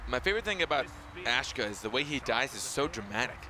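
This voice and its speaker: The man's pitch swings very widely, with noticeable background noise present. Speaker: esports caster. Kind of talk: live commentary. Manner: animated.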